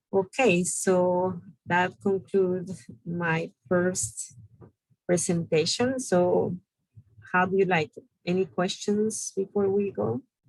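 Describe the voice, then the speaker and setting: The speaker talks at a very slow pace. A strong non-native accent comes through. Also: woman, medium pitch for a woman, ordinary pitch variation. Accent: strong foreign. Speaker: business bootcamp instructor. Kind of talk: online class lecture.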